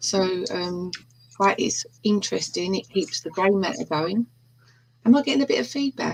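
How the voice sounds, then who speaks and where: In a London accent, a somewhat breathy woman makes very wide pitch swings. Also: medium pitch for a woman, moderate pace. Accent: London accent, self-described rough and ready. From East End of London. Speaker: true crime hobbyist. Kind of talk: casual chat.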